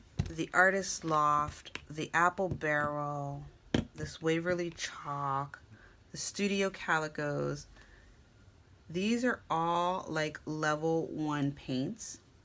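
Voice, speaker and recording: A woman speaks quietly at a very slow pace, her pitch very deep and low. Her tone is bright and sharp, and her intonation fairly even. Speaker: craft video creator. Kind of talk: tutorial.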